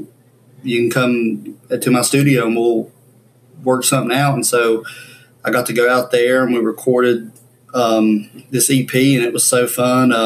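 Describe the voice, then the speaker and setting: An American accent marks this man's speech. He sits at medium pitch with monotone, flat intonation. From US South, Ashe County, North Carolina. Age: 20s. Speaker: banjo player. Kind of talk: interview.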